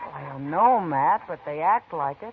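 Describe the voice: A woman's put-on character voice, low and husky with a rough edge, lively in intonation and moderate in pace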